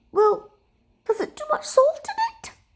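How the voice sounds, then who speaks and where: Squeaky and extremely high-pitched, a woman's put-on character voice moves at a moderate pace with lively intonation. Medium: read story. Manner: nervous, stammering.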